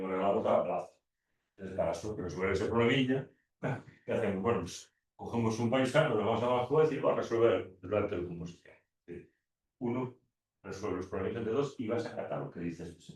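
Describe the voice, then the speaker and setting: Somewhat breathy and at a very fast pace, a man speaks with a medium pitch, ordinary pitch variation and big swings in loudness. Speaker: law teacher. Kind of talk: lecture. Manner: halting.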